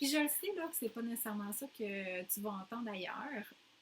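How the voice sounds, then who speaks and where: A woman's fairly high voice in a Quebec accent, with ordinary pitch variation. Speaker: postnatal fitness coach. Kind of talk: casual talk.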